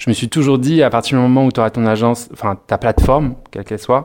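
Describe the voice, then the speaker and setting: This man speaks at a very fast pace. His pitch is medium and his intonation fairly even. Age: 30s. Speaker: PR agency co-founder. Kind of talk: interview. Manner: hesitant, many fillers.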